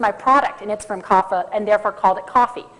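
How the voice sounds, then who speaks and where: A woman with an American accent speaks at a fairly quick pace, her pitch swinging very widely. Noticeable background noise runs underneath. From US Midwest, Minnesota. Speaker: conference speaker on coffee. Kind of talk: conference talk. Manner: fast.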